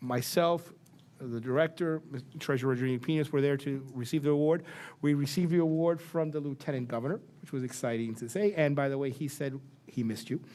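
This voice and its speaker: On a very clean recording with a silent background, a man speaks at a very fast pace in a dark, mellow tone, his fairly high pitch showing ordinary variation. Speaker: board chairman. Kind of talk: board meeting remarks. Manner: halting with restarts.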